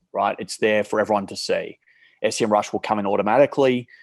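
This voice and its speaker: Recorded very cleanly against a silent background, a man with an Australian accent speaks at a fairly low pitch in a dry, close sound with no echo. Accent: thick Australian. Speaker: marketplace company CEO. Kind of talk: podcast interview.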